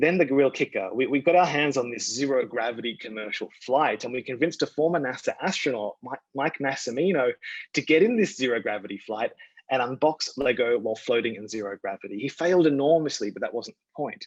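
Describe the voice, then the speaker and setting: In an Australian accent, a man of medium pitch talks at a fairly quick pace. His loudness swings widely, and the sound is dry and close with no echo. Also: ordinary pitch variation. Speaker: communications strategist at a toy company. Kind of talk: presentation talk. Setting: virtual event. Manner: fast.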